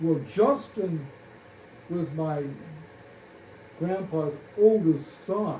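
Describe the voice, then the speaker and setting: A man speaks at a very slow pace, with long, frequent pauses. His voice is high, with lively intonation and audible room echo. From Kansas. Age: 80s+. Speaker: family elder recalling memories. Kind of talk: oral history interview. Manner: halting, many fillers.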